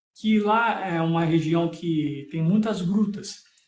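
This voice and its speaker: A man with a high pitch speaks at a very slow pace. His voice has audible room echo. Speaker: preacher. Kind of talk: Bible teaching in a live stream. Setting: live stream.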